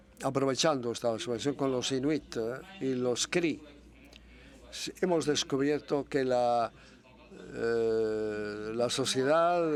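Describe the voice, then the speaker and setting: With long, frequent pauses, a man speaks at a very slow pace. His pitch is medium, with ordinary variation. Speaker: university researcher. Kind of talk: conference presentation. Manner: hesitant, many fillers.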